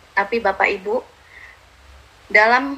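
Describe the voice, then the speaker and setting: Her voice sits at a fairly high pitch. The woman speaks at a fairly slow pace. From Madura, Indonesia. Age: 30s. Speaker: motivational speaker. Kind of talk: motivational talk. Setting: live stream.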